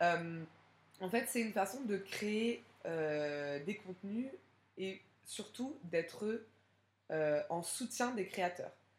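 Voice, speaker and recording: A woman at a medium pitch speaks at a very slow pace with lively intonation and long, frequent pauses. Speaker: podcast host. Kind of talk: solo podcast monologue. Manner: hesitant, many fillers.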